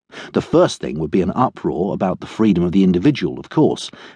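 A man speaks with lively intonation and a dark, mellow tone. The sound is dry and close with no echo, against a quiet background. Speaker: audiobook narrator. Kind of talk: scripted narration of a crime novel.

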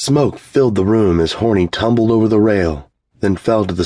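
Reading aloud in a natural voice with ordinary pitch variation over a quiet background

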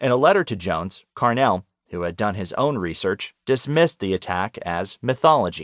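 A man's medium-pitched voice at a moderate pace, with very wide pitch swings, a dry, close sound with no echo and a quiet background. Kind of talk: audiobook narration of nonfiction magazine article. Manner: even, measured, formal; clear, steady documentary-style delivery.

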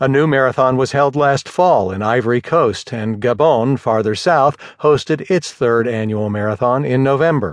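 A man's unremarkable speaking voice at medium pitch, with ordinary pitch variation and a quiet background. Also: moderate pace, hardly any pauses. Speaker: audiobook narrator. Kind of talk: audiobook news article reading. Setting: studio. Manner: formal, even and measured, newsreader delivery.

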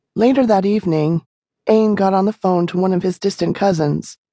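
Quiet surroundings, a natural reading voice, and ordinary pitch variation

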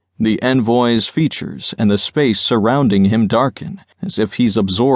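Natural-voiced reading aloud

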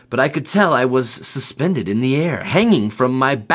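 The plain reading aloud carries lively intonation.

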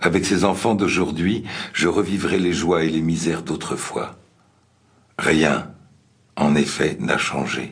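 A man speaks with a very deep, low pitch and fairly even intonation in a solemn tone, at a very slow pace with long, frequent pauses. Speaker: memoir reader. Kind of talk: reading aloud a memoir. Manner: slow, solemn, reflective.

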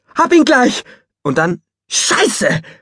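Lively intonation marks this man's speech, captured with a dry, close sound and no echo. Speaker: audiobook narrator. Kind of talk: audiobook narration, first-person dog's perspective.

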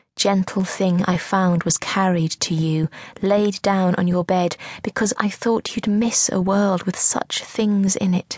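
Over a dry, close sound with no echo, a woman talks in a weary, somewhat breathy voice at a very slow pace with fairly even intonation. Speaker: audiobook narrator. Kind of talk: dramatic audiobook narration, first-person confessional, spoken to a comatose sister. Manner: slow, hushed and intimate, wistful and mournful, with lyrical pauses; tender, reflective, growing bleak and weary.

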